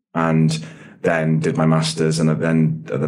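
A man speaks with a very deep, low pitch. Audible room echo and noticeable background noise surround him. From English Midlands (Nottinghamshire), born in Dublin. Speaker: coffee business founder. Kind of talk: interview.

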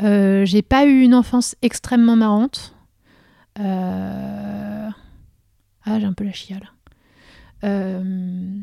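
Speaking at a very slow pace with long, frequent pauses, a woman uses a medium pitch, a dark, mellow tone and fairly even intonation, while her loudness swings widely. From France, Vosges (Lorraine). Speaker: photographer and comic book writer. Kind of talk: interview.

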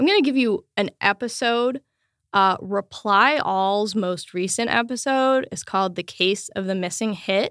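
In a very clean recording with a silent background, a woman with an ordinary speaking voice talks at a fairly slow pace, her fairly high pitch showing ordinary pitch variation. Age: 30s. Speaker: podcaster and bass player. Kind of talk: interview. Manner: casual, filler-heavy.

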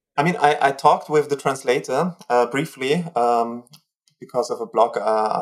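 A man's fairly high voice with a German accent and ordinary pitch variation. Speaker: cultural historian. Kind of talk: interview. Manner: hesitant.

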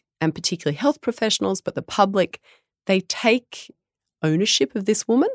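A woman with an Australian accent talks at a moderate pace with a medium pitch, vocal fry and lively intonation, in a very clean, dry, close recording with a silent background and no echo. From Australia, Tamworth NSW. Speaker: midwife and business founder. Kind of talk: interview.

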